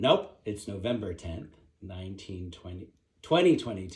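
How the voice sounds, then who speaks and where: A somewhat breathy man talks at a fairly slow pace. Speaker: interviewer. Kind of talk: interview introduction.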